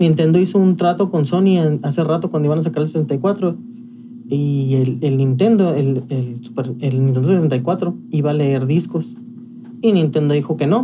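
Lively intonation marks this man's fairly high voice. He speaks at a fairly slow pace with very even loudness. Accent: Mexican. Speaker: podcast co-host. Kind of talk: casual chat.

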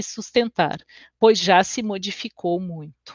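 Her pitch shows ordinary variation. The woman speaks at a fairly slow pace. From Brazil, Porto Alegre (Rio Grande do Sul). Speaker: education researcher and lecturer. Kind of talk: online lecture. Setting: livestream. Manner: hesitant, many filler sounds.

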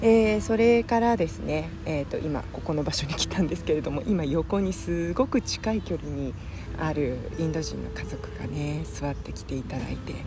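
Speech at a moderate pace amid noticeable background noise and audible room echo. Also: woman. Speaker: podcaster. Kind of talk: casual solo monologue. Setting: outdoors on a beach.

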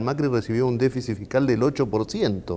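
Over noticeable background noise, a man speaks with a Rioplatense accent. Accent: Argentine Rioplatense Spanish. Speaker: think tank president. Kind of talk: political talk show discussion. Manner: hesitant, frequent fillers.

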